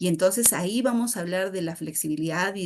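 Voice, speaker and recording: A woman's plain, everyday voice, medium in pitch, with fairly even intonation and a fairly quick pace. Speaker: architect and webinar instructor. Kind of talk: webinar lecture. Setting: online webinar.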